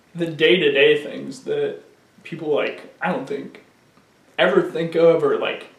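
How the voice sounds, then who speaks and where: The speech is fairly slow, with long, frequent pauses, audible room echo and noticeable background noise. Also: man. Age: 20s. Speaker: person living with ALS. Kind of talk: documentary interview. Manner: casual.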